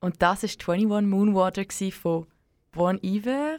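A woman's voice is heard. The background is silent and the recording very clean. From Switzerland, German-speaking, Serbian heritage. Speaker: community radio co-host. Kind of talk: late-night radio chat. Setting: dark radio studio.

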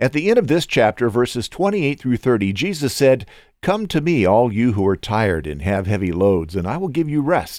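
On a very clean recording with a silent background, a man with an American accent speaks at a fairly quick pace with very wide pitch swings. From Southern California. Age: 60s. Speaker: podcast host, Bible reader. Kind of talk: reading aloud; devotional commentary.

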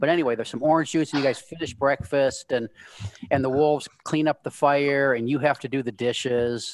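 Reading in a natural voice

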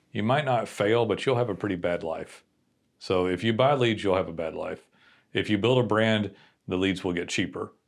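A man with an ordinary speaking voice, fairly low pitch and ordinary pitch variation, at a moderate pace, on a very clean recording with a silent background. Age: 40s. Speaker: digital marketing agency owner. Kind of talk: casual chat.

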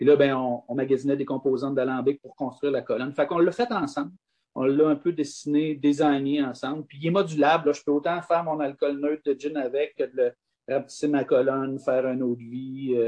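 An unremarkable speaking voice from a man, fairly high in pitch and fairly quick, with fairly even intonation and big swings in loudness. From Quebec, south shore of Quebec City. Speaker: distillery and vineyard owner. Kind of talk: interview.

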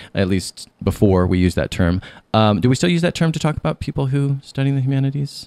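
Speaking at a very fast pace, a man with a medium pitch swings his pitch very widely. His tone is dark and mellow. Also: very clean recording, silent background. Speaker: podcast host and author. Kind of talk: interview. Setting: radio studio.

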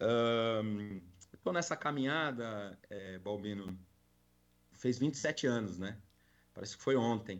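A man with a medium-pitched voice talks at a very slow pace, with ordinary pitch variation and long, frequent pauses. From Brazil, São Paulo city. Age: 40s. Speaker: corporate security and loss prevention manager. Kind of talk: live podcast interview.

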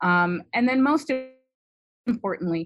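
A woman with an East Coast American accent speaks at a moderate pace with very wide pitch swings against a quiet background. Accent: generic American East Coast. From US Midwest. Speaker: immunology professor. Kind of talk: interview.

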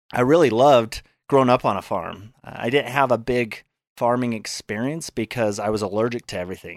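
Recorded very cleanly against a silent background with a dry, close sound and no echo, a man talks in an ordinary speaking voice with ordinary pitch variation. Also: medium pitch for a man, fairly quick pace. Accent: American. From Utah, US. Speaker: fitness trainer and author. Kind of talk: casual interview.

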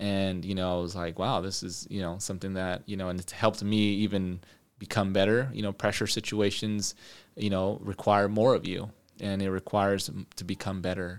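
Here is an unremarkable speaking voice at a moderate pace with fairly even intonation. The recording is very clean, with a silent background. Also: man. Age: 30s. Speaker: businessman. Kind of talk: casual interview.

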